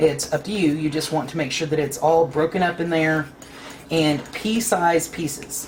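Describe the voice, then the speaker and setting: A woman with an Ozark accent talks at a fairly quick pace in a fairly low voice, with audible room echo and noticeable background noise. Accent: Southern US, Ozark. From US South, Ozark Mountains of Arkansas. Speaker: cooking channel host. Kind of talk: cooking tutorial. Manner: casual, folksy.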